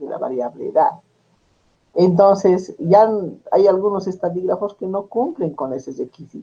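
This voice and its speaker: Speaking fairly slowly in a high pitch, a man with a dark, mellow tone uses lively intonation and big swings in loudness. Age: 60s. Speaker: statistics teacher. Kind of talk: lecture. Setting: class with students.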